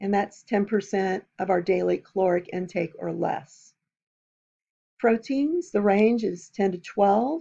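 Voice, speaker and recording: A woman's voice with a dark, mellow tone, medium in pitch, with ordinary pitch variation. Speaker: nutrition instructor. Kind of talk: lecture. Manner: hesitant, many fillers.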